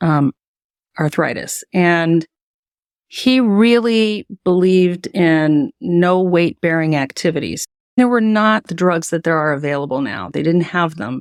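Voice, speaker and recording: A woman's fairly low voice, a normal speaking voice, with lively intonation at a fairly slow pace, on a very clean recording with a silent background and a dry, close sound with no echo. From US Midwest, Cincinnati, Ohio. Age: 60s. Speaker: educational psychologist and author. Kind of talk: interview.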